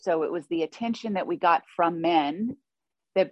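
Speaking in a normal speaking voice, a woman keeps a moderate pace, her fairly low pitch showing ordinary variation. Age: 50s. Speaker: author and podcast host in recovery. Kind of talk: interview, personal testimony.

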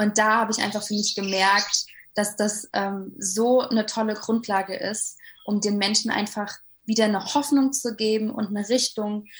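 A somewhat breathy woman's voice, fairly high in pitch, at a moderate pace with fairly even intonation. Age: 20s. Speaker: life coach. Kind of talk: interview.

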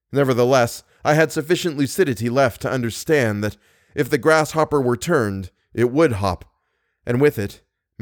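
Over a quiet background, someone reads aloud in a natural voice.

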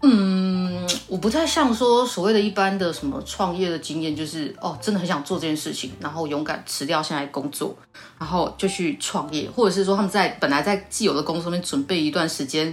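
With a slight southern Taiwanese accent, a woman speaks fairly quickly in a fairly low voice with lively intonation over noticeable background noise. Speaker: shoe brand founder. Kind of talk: casual chat.

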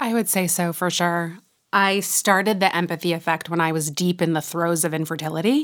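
Fairly low in pitch, a woman speaks at a fairly quick pace. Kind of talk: interview conversation. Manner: animated.

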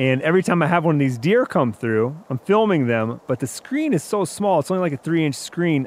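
A man with an American accent speaks at a moderate pace in an ordinary speaking voice, his fairly high pitch carried by lively intonation. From Wisconsin, US. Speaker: outdoor media hunter. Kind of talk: storytelling.

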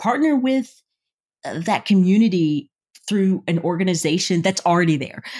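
Here is a woman with an American accent and a normal speaking voice at a medium pitch. She speaks at a moderate pace with lively intonation. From US South. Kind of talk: interview.

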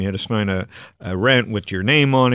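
A man with a Canadian accent has an unremarkable speaking voice, a fairly low pitch and ordinary pitch variation. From Canada. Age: 40s. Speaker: angel investor and venture capitalist. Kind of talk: interview conversation.

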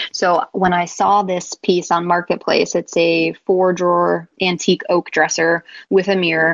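Recorded with a dry, close sound and no echo, a woman with an American accent speaks in a fairly low pitch with monotone, flat intonation. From Buffalo, New York. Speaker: furniture refinisher. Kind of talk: casual chat.

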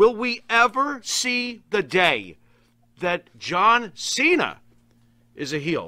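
Raising and projecting his voice, a man speaks at a high pitch in a bright, sharp tone with very wide pitch swings. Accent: American. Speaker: wrestling show co-host. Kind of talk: casual chat.

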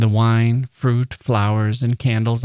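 This is plain reading aloud. Nothing else marks the delivery.

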